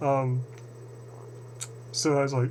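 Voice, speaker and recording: In an American accent, a man speaks at a fairly high pitch. Audible room echo surrounds his voice. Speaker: channeling researcher video blogger. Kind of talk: casual monologue video address. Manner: hesitant, many fillers and repetitions.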